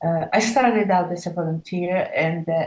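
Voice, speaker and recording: A woman with an Italian accent, a fairly low pitch, a dark, mellow, somewhat breathy tone and fairly even intonation. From Italy. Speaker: wildlife trade researcher. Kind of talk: online panel discussion. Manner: halting.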